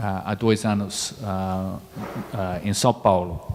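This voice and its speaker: The speaker has a British accent. The pace is very slow. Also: man. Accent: non-native Portuguese, British. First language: English (speaking Portuguese). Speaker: diplomat. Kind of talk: panel debate. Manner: slow, halting.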